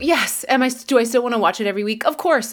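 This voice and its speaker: At a moderate pace, a woman talks with a fairly high pitch and lively intonation. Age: 30s. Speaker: podcast co-host. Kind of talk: casual chat. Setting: at home with barking dog. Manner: halting, many repeated words.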